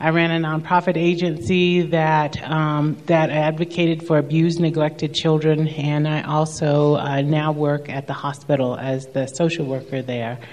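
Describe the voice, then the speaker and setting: Moderate pace with hardly any pauses, over noticeable background noise. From Kentucky, rural southeast. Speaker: social worker. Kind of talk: testimony.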